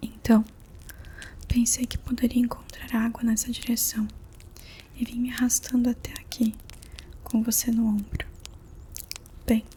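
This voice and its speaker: A soft-spoken woman talks in a high pitch and a gentle tone, with monotone, flat intonation. Noticeable background noise is present. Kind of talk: ASMR audiobook reading. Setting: quiet room with faint candle and fireplace sounds. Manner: soft-spoken, gentle.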